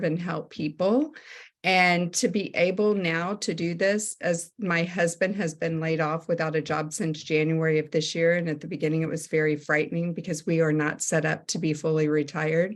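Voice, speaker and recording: An ordinary speaking voice from a woman, fairly low in pitch, at a moderate pace with fairly even intonation, hardly any pauses and a quiet background. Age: 60s. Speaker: network marketing consultant, former teacher. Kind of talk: sales presentation on a group call.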